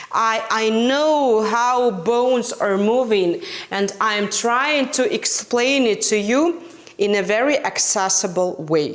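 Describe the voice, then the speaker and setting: A woman with a non-native accent and a fairly high voice speaks very slowly over noticeable background noise. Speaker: fitness instructor. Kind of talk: direct-to-camera talk, promotional.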